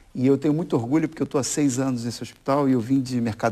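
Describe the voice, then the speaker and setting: A man speaks with a Rio de Janeiro accent in a dark, mellow tone. His pitch variation is ordinary. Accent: Rio de Janeiro (carioca). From Brazil, Rio de Janeiro.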